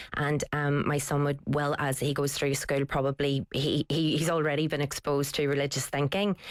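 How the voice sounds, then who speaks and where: Over noticeable background noise, a woman with a Northern Irish accent and a very deep, low pitch talks at a moderate pace with hardly any pauses, monotone, flat intonation and very even loudness, in a dry, close sound with no echo. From Northern Ireland, Belfast. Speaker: writer and broadcaster. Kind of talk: radio discussion.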